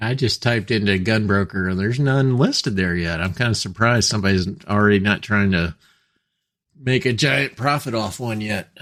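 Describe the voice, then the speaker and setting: A man speaks at a fairly quick pace with a fairly low pitch and ordinary pitch variation, in an ordinary speaking voice. The recording is very clean with a silent background. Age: 60s. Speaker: gun podcast co-host. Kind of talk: casual chat.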